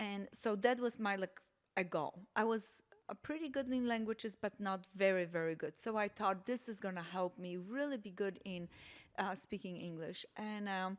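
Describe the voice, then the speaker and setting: A woman with a slight Polish accent speaks at a medium pitch and a moderate pace, with ordinary pitch variation, on a very clean recording with a silent background. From Poland. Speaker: podcast guest, host's mother. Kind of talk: casual chat. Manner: hesitant, with fillers.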